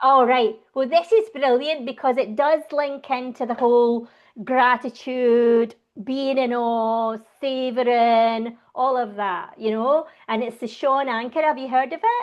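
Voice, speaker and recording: Speaking at a fairly slow pace, a woman with a Scottish accent has a high-pitched voice. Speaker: laughter yoga instructor. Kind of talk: interview. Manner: animated.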